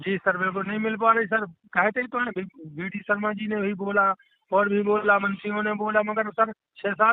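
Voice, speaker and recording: A man talks at a moderate pace with a high pitch. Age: 60s. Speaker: caller, farmer and local party worker. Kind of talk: phone call seeking help. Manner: halting, repetitive.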